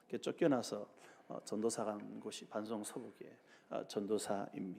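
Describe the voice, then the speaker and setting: Fairly low in pitch, a man's dark, mellow tone carries vocal fry and fairly even intonation at a moderate pace. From South Korea, Busan. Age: 60s. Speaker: pastor. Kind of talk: sermon. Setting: church.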